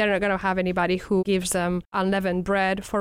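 Over a silent background in a very clean recording, a woman speaks at a medium pitch with monotone, flat intonation. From Spain. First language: Spanish. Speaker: professor. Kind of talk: casual interview.

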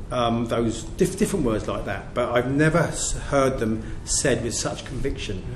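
Against noticeable background noise, a man speaks at a medium pitch and moderate pace. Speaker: prison governor. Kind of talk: public talk at an event.

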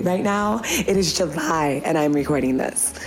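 A woman's animated voice over noticeable background noise. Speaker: podcast host. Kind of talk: casual solo podcast intro. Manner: animated, excitable, chatty.

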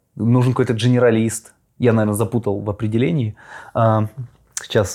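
The voice belongs to a man with a dark, mellow tone. He talks at a moderate pace. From Russia. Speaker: podcast host. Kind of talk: casual interview. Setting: studio.

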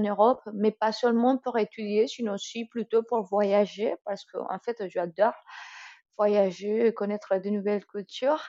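At a fairly slow pace, a woman talks with a strong Colombian accent. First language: Spanish (speaking French). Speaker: student. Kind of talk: interview. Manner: halting.

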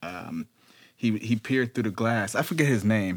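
The recording is very clean, with a silent background. A man with an American accent uses an ordinary speaking voice at a fairly low pitch, a moderate pace and ordinary pitch variation. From Detroit. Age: 20s. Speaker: podcast host and rapper. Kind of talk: casual chat.

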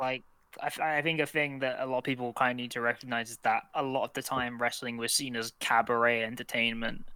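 With a London accent, a man talks very fast at a medium pitch, his tone bright and sharp and his intonation fairly even. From southwest London. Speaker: podcast co-host. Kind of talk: casual chat.

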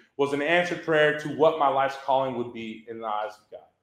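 Speech comes at a fairly quick pace with an American accent. Audible echo from the room surrounds the voice. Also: man. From Texas, Southwest Houston. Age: 30s. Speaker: church ministry staff. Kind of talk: testimony. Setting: church luncheon with audience.

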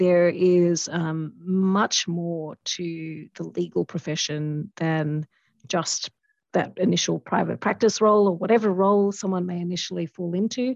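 Speaking at a fairly slow pace, a woman with an Australian accent has a fairly low pitch and fairly even intonation. The sound is dry and close with no echo, over a quiet background. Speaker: lawyer. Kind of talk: interview conversation.

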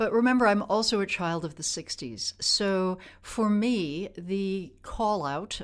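A plain, everyday voice from a woman with an American accent, at a fairly slow pace with ordinary pitch variation, on a very clean recording with a silent background. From US Midwest, Wisconsin. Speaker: former politician and Arctic policy official. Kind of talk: interview. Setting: studio.

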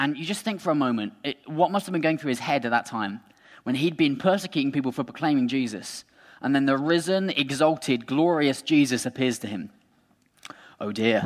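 An ordinary speaking voice from a man, fairly high in pitch with lively intonation at a fairly quick pace, in a very clean recording with a silent background. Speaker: preacher. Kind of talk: sermon. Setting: church. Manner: informal, humorous.

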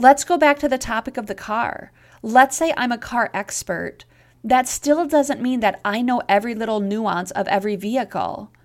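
A woman's fairly high voice, a normal speaking voice, with ordinary pitch variation and a moderate pace. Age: 30s. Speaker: podcast host and counselor. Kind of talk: solo podcast monologue.

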